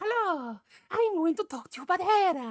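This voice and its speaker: A put-on character voice from a woman, extremely high-pitched, at a moderate pace. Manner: exaggerated sales pitch.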